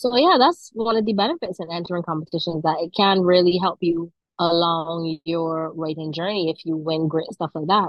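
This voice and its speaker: A woman with a Barbadian accent talks at a moderate pace in a fairly low pitch, with hardly any pauses. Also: ordinary pitch variation. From Barbados. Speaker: author. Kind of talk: interview.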